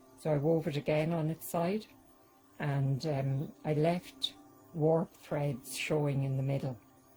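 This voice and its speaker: A woman with an Irish accent at a fairly slow pace, her pitch very deep and low with ordinary variation, music in the background. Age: 60s. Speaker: tapestry weaver, artist. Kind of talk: documentary interview. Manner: casual, hesitant with fillers.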